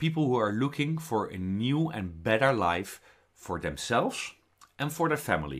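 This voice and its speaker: The speaker has a Dutch accent and a moderate pace, with very wide pitch swings. It's a very clean recording against a silent background. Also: man. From Netherlands. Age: 40s. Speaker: network marketer. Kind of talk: sales pitch.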